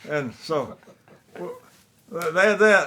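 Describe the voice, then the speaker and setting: This man has a high pitch, a bright, sharp tone, ordinary pitch variation and a Southern US accent. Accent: Southern American. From South Carolina upstate. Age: 80s+. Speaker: war veteran. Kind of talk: interview answer.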